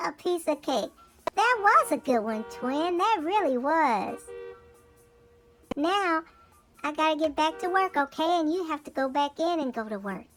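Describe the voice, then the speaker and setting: A high-pitched put-on character voice moves at a moderate pace with long, frequent pauses over faint background music. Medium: comedy sketch. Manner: friendly, easygoing.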